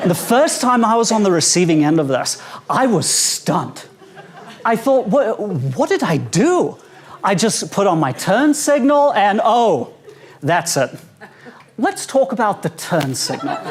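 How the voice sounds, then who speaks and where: Against noticeable background noise, a man with a South African accent speaks fairly slowly in a high voice, his pitch swinging very widely while his loudness stays very even, with long, frequent pauses. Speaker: stand-up comedian. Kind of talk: stand-up. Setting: stage with audience at a conference.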